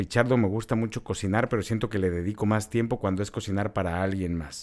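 Over a very clean recording with a silent background, a man talks at a very fast pace in a fairly low pitch. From Mexico City. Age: 30s. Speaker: podcast co-host. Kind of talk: casual chat.

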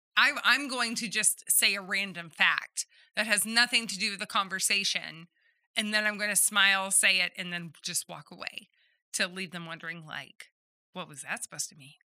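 At a moderate pace, a woman with a slight Southern US accent speaks in a medium pitch and a bright, sharp tone, with ordinary pitch variation and big swings in loudness, in a very clean recording with a silent background and a dry, close sound with no echo. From Southeast Texas. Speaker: podcast co-host. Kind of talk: casual chat.

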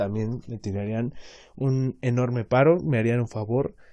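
With a Mexican accent, a man speaks at medium pitch in a dark, mellow tone, his intonation fairly even. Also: quiet background. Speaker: podcaster. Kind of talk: casual monologue. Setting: home laundry area at night. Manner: quiet.

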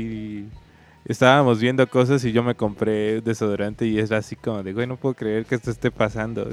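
Music plays in the background as a man talks at a moderate pace. The sound is dry and close, with no echo. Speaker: podcast co-host. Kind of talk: casual chat.

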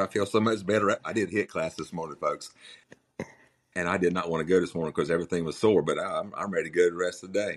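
Speaking very fast, a man with a North Carolina accent uses a very deep, low pitch. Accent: Southern US (North Carolina coastal). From US South, Outer Banks of North Carolina. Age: 60s. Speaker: heart attack survivor, car dealership owner. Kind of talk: casual interview. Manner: blunt, outspoken.

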